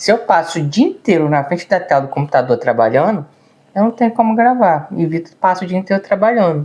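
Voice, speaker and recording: A man's high voice at a fairly quick pace, full of very wide pitch swings. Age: 30s. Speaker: vlogger. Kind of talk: casual chat. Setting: seated at home video. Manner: words run together.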